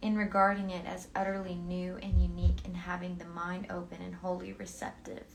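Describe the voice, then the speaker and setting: With noticeable background noise, a woman speaks at a fairly quick pace with hardly any pauses, in a soothing tone with big swings in loudness. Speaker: book reader. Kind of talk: philosophy book reading.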